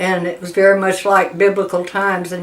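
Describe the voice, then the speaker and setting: A woman's voice in a monotone, flat intonation. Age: 80s+. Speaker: war veteran. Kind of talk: oral history testimony. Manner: halting, with fillers.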